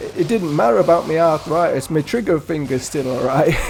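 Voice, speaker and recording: Music plays behind a man with an English accent and a high pitch. His intonation is lively. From England. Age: 70s. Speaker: gaming youtuber. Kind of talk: casual chat. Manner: halting.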